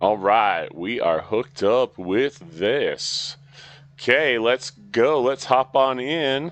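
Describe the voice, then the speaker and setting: A man's medium-pitched voice with vocal fry and lively intonation, at a very slow pace. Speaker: gaming live streamer. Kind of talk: live gaming stream chat. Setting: live stream. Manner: animated.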